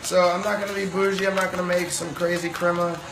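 Fast delivery with vocal fry and little pitch movement over clear background noise. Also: man, high pitch for a man.

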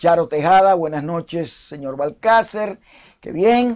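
A man with a Dominican accent, fairly high pitch, fairly slow pace and ordinary pitch variation. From Dominican Republic. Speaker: online news and commentary host; online news, commentary host. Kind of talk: live history talk show.

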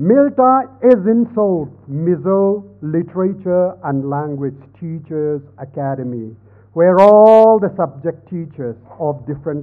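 An ordinary speaking voice, a man's, with lively intonation at a fairly slow pace. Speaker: senior professor, speaker; speaker. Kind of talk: formal speech. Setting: stage with audience. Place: hall. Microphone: podium.

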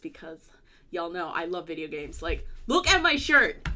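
The pace is moderate. The tone is bright and sharp. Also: woman. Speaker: youtuber. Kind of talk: casual vlog chat. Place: home room.

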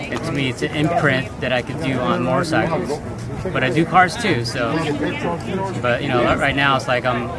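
Over clear background music, a man speaks at a moderate pace with ordinary pitch variation, the sound dry with no echo. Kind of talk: interview answer. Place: street.

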